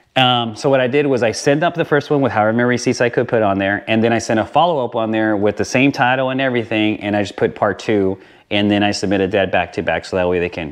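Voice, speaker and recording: Over a quiet background, the speaker talks at a very fast pace with ordinary pitch variation. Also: man. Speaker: motorcycle vlogger. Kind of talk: tutorial. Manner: casual with many fillers.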